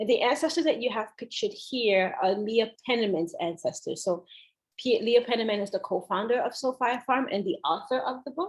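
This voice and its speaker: A woman talks at a fairly quick pace in a high voice. Her intonation is lively. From Haitian family. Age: 30s. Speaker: speaker from a farm organization. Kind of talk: lecture. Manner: fast.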